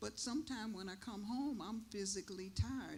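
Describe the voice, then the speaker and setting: A woman with a fairly high pitch and vocal fry speaks with audible room echo. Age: 70s. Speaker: elder panelist, caregiver. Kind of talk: panel discussion. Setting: church stage.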